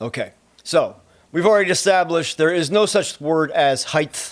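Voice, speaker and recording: This is a man speaking with a New Jersey accent. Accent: New Jersey accent, noticeable. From US Northeast, Trenton, New Jersey. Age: 40s. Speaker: photo and video gear reviewer. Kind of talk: tutorial. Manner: casual, conversational.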